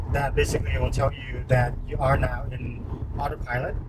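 Loud noise dominates the background. A man talks through it at a moderate pace. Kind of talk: tutorial. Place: car. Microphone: camera far.

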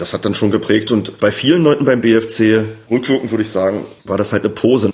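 This man talks at a fairly quick pace in a fairly low pitch, with a slightly mellow tone and ordinary pitch variation.

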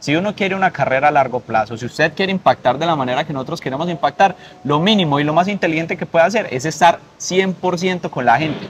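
There is light background noise as a man talks at a fairly quick pace, his fairly high pitch showing ordinary variation. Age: 20s. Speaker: political candidate; candidate. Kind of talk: interview; interview answer. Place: garden. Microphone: lapel.

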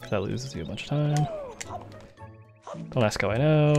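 A man is speaking. Music plays in the background. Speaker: speedrunner. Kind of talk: casual gameplay commentary.

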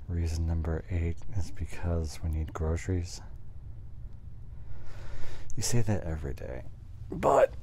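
Soft-spoken delivery at a very slow pace, dry with no echo, over light background noise. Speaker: ASMR voice actor. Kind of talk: casual roleplay chat with listener. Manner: drowsy, lazy, soft-spoken bedtime voice.

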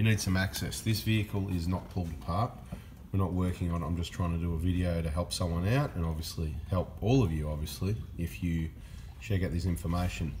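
A man's very deep, low voice, somewhat breathy and at a very fast pace, over light background noise. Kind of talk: tutorial. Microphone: phone near.

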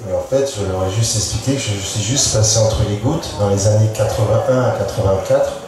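With hardly any pauses, the speech comes through strong room echo and noticeable background noise. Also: man, moderate pace. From Brittany, France. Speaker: painter and sculptor. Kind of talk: panel discussion. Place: tent.

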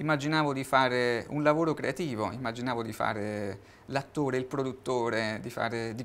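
At a fairly quick pace, a man speaks with fairly even intonation. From Italy. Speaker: guitarist and artist; interviewee. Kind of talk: TV interview. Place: studio.

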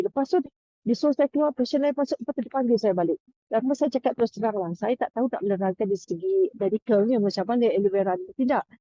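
Lively intonation in a woman's fairly high-pitched voice. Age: 60s. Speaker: health product seller. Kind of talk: testimony. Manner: halting.

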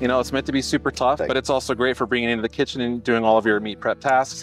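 A man speaks very fast with ordinary pitch variation. The sound is dry with no echo, and faint music plays in the background. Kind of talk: product explanation in interview. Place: street.

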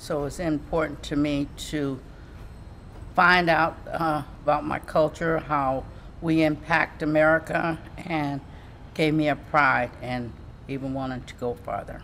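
Her very deep, low voice moves at a fairly slow pace with fairly even intonation, broken by long, frequent pauses. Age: 70s. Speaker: retiree and college graduate. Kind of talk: interview testimony. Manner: hesitant, many fillers.

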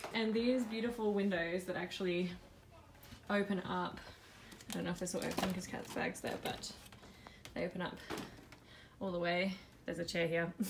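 Over noticeable background noise, a woman speaks with fairly even intonation and long, frequent pauses. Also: moderate pace. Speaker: travel vlogger. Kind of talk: casual vlog chat. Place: home room. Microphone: phone near.

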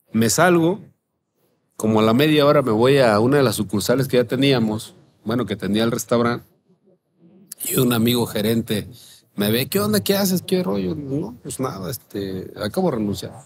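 A man's medium-pitched voice with lively intonation and long, frequent pauses, over light background noise. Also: moderate pace. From Mexico, Guerrero coast. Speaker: chef and restaurant owner. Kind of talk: interview, casual chat. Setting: outdoor terrace. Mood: relaxed storytelling with quoted dialogue. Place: cafe. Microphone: studio mic.

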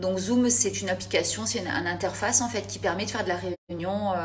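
A woman speaks with a very deep, low pitch. Her pitch swings very widely over light background noise. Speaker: cooking host on a live stream. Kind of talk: casual live chat. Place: kitchen. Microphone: phone near.

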